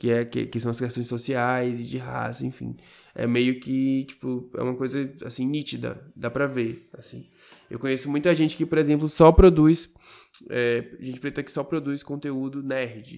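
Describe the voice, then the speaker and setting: At a fairly slow pace, a man with a plain, everyday voice speaks at medium pitch with fairly even intonation and big swings in loudness. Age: 20s. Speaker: podcast co-host. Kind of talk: casual chat.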